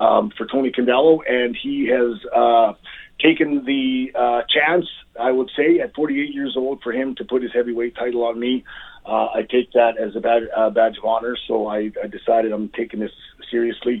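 Here is a man with a plain, everyday voice, a medium pitch, ordinary pitch variation and a moderate pace. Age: 40s. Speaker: pro wrestler. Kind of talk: casual chat.

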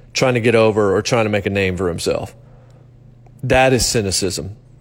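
Here a man talks at a moderate pace and medium pitch, with ordinary pitch variation. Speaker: sports radio host. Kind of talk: solo sports commentary podcast. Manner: stream of consciousness, conversational.

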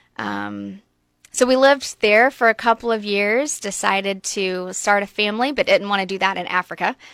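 Recorded very cleanly with a silent background and a dry, close sound with no echo, a woman speaks with a normal speaking voice. Her pitch is medium with ordinary variation, at a moderate pace. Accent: American. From US South, coastal Georgia (Brunswick area). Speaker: refugee ministry leader. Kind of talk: radio interview. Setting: radio studio.

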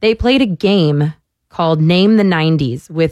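The recording has a dry, close sound with no echo, and a woman with an ordinary speaking voice talks at a moderate pace. Her pitch is fairly low and her intonation lively. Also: very clean recording, silent background. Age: 20s. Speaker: sports podcast host filling in on radio. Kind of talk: casual sports talk radio.

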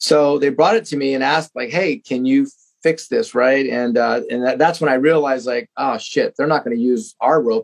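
A man with an unremarkable speaking voice talks at a fairly quick pace, with a medium pitch and ordinary pitch variation. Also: hardly any pauses. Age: 50s. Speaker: fitness equipment maker and CrossFit coach. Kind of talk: casual chat. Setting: remote podcast recording.

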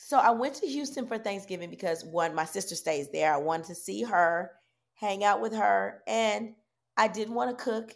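On a very clean recording with a silent background, a woman speaks at a moderate pace and a medium pitch. Her intonation is lively, and her voice has vocal fry. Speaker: podcast co-host. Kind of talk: casual chat.

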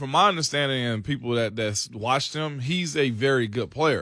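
Speaking at a moderate pace, a man with a fairly high pitch has a bright, sharp tone and lively intonation. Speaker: radio co-host. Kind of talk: casual sports radio banter. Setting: radio studio.

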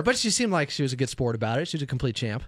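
The voice belongs to a man. His pitch swings very widely. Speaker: radio host. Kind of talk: casual banter. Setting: studio.

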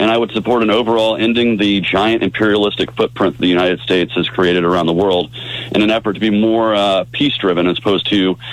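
Over noticeable background noise, a man with a fairly low pitch talks at a very fast pace, his loudness very even and his pitch varying in an ordinary way. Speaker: political candidate. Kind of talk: radio interview.

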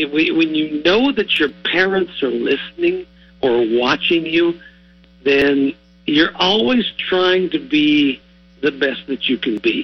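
Music plays in the background. Over it, a man speaks with an American accent. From southwest Ohio (Warren County). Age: 60s. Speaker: retired TV sportscaster. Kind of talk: radio interview.

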